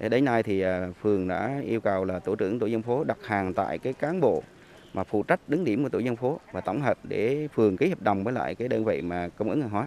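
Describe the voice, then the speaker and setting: Lively intonation comes from a man talking at a very fast pace. The sound is dry with no echo, over light background noise. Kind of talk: interview answer. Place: street. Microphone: handheld.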